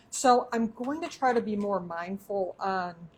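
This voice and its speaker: Somewhat breathy and medium in pitch, a woman speaks with a Michigan accent and ordinary pitch variation. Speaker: cooking show host. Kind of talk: live cooking demonstration. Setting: home kitchen, back door open.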